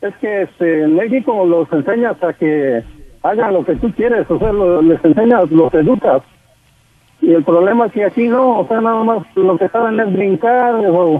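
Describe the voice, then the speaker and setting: Lively intonation runs through speech delivered at a fairly slow pace. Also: man, high pitch for a man. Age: 40s. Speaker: caller. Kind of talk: phone-in call. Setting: phone call.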